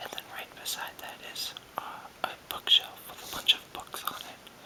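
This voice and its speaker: A man's whispering in a relaxed tone, with noticeable background noise. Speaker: video blogger. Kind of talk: casual talk to camera. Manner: whispered, relaxed, free-form.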